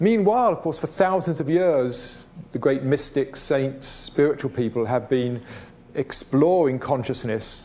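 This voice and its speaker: At a moderate pace, a man with a British accent talks at a medium pitch. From Britain. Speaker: speaker on consciousness and spirituality. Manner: reflective, with hesitations.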